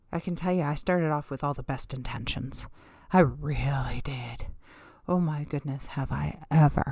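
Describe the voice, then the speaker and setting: Vocal fry colors this woman's speech. Her pitch is very deep and low, with a dark, mellow tone. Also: fairly even intonation, moderate pace. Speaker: podcast host and author. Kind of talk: motivational solo monologue. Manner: warm, encouraging.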